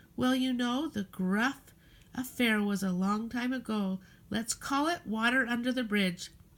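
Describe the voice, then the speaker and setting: A woman puts on a character voice at a fairly high pitch, talking at a moderate pace. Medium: read story. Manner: gruff, blustering.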